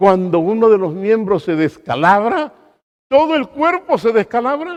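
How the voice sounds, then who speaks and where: Here a man with a high pitch talks at a fairly slow pace. His pitch swings very widely. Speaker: pastor. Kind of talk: sermon.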